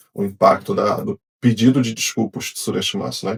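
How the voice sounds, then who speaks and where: In a Rio de Janeiro accent, a man talks at a fairly quick pace, somewhat breathy, in a dry, close sound with no echo. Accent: Rio de Janeiro Brazilian Portuguese. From Brazil, Rio de Janeiro. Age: 40s. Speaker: engineer. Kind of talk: podcast interview. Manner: casual, conversational.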